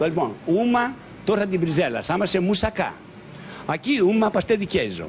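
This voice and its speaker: A man's high voice with a Greek accent, at a moderate pace with ordinary pitch variation, long, frequent pauses and noticeable background noise. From Greece. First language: Greek (speaking Portuguese). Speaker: restaurant owner. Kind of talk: casual chat.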